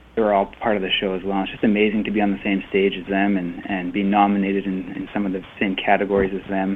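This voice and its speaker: Speaking at a very fast pace with hardly any pauses, a man keeps a fairly low pitch and monotone, flat intonation. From Canada (Winnipeg, Manitoba). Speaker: country singer. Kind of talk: interview.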